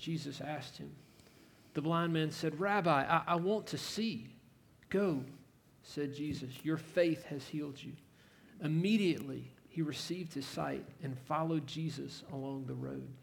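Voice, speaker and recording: With ordinary pitch variation, a man speaks in a somewhat breathy voice at a fairly high pitch. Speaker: scripture reader. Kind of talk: reading aloud.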